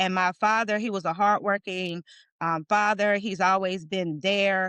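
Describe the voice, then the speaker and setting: The delivery is flat and monotone at a fairly slow pace. The sound is dry and close with no echo, over a quiet background. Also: woman, medium pitch for a woman. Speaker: guest, women leader. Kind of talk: interview conversation. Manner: halting.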